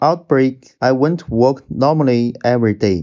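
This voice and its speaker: A man speaks at a medium pitch, his pitch varying in an ordinary way. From Wuhan, China. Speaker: bartender and bar owner. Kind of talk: read prepared statement.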